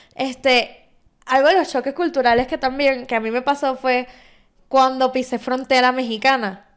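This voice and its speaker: A woman with a Venezuelan accent speaks in a high, animated voice. The recording is very clean, with a silent background. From Venezuela, Valencia (Carabobo). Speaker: podcast host. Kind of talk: casual chat.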